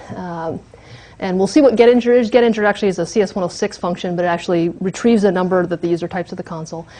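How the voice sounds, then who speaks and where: A woman speaks at a very fast pace. Her medium pitch shows ordinary variation. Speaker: university lecturer. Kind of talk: lecture.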